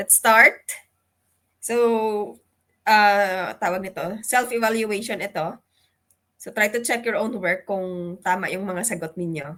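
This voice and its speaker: Very slow with long, frequent pauses, a woman speaks in a bright, sharp tone at medium pitch, her pitch varying in an ordinary way while her loudness swings widely, all on a very clean recording with a silent background. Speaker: exam review lecturer. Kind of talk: lecture.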